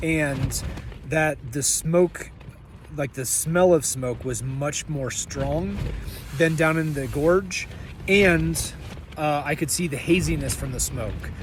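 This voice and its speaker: A man speaks at a very slow pace, with long, frequent pauses. Noticeable background noise runs underneath. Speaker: thru-hiker vlogger. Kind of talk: video diary. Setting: in a tent outdoors. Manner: loud; casual, filler-heavy.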